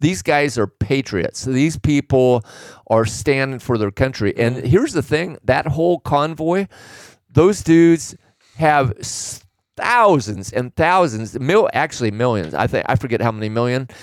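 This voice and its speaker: A man with a normal speaking voice and medium pitch speaks at a fairly slow pace with lively intonation, on a very clean recording with a silent background and a dry, close sound with no echo. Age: 60s. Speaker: retired trucker and business owner. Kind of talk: casual chat.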